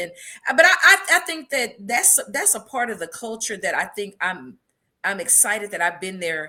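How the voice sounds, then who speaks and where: Animated woman with an American accent, fairly high pitch, bright, sharp tone, very wide pitch swings, and a fairly quick pace. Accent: country twang. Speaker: podcast co-host. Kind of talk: casual chat.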